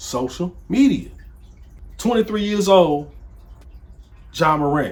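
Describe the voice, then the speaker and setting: A man talks in an animated tone. His intonation is lively. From Nashville, Tennessee. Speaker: author and video commentator. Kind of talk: casual commentary vlog.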